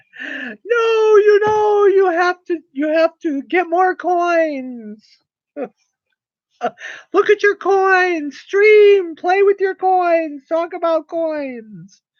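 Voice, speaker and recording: In a put-on character voice, a woman speaks very slowly at an extremely high pitch. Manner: urging.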